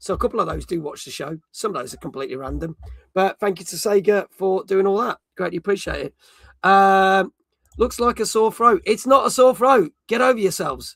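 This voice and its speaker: A man talks at a high pitch and a fairly quick pace with lively intonation. His loudness swings widely, and the sound is dry and close with no echo. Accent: British. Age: middle-aged. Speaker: gaming streamer and show host. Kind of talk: casual live-stream chat. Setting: live stream.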